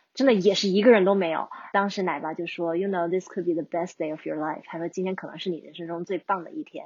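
The pace is very fast as this woman talks. Her pitch moves with ordinary variation. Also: fairly low pitch for a woman, big swings in loudness. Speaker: long-distance hiker. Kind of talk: interview conversation.

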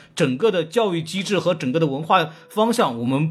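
Over noticeable background noise, a man talks in a high pitch with an animated tone and lively intonation. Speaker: podcast host and film critic. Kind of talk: casual chat.

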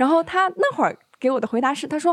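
Recorded dry and close with no echo, a woman speaks at a very fast pace with lively intonation. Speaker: audience member. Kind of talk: casual chat. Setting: stage with audience.

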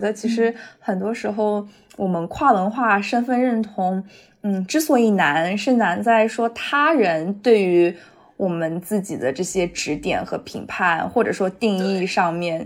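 An unremarkable speaking voice from a woman, medium pitch with ordinary pitch variation, fairly slow pace. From Shanghai, China. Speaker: podcast host. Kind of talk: casual chat.

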